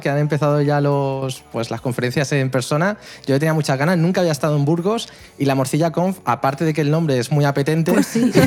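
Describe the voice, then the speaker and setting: At a fairly quick pace, an ordinary speaking voice moves with ordinary pitch variation. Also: man. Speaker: tech content creator. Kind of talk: casual chat.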